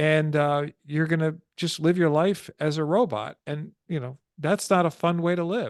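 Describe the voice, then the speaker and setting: A plain, everyday voice with an American accent, ordinary pitch variation and a fairly slow pace, dry and close with no echo. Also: man, fairly high pitch for a man. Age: 60s. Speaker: stress prevention coach. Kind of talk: interview.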